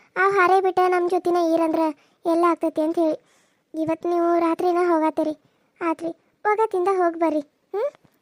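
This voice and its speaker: A woman's cartoonish character voice at an extremely high pitch, with fairly even intonation, very even loudness and a moderate pace. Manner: meek, respectful.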